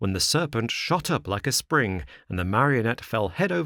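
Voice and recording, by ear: This is reading aloud in a natural voice. The intonation is lively.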